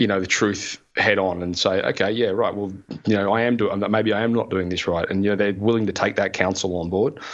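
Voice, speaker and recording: Fairly low in pitch, a man with an Australian accent talks at a fairly quick pace with fairly even intonation. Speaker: podcaster, former plumber. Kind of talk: interview answer.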